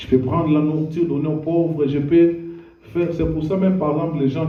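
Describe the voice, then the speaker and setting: With noticeable background noise and audible room echo, a man speaks at a fairly high pitch. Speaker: pastor. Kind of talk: sermon. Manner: slow.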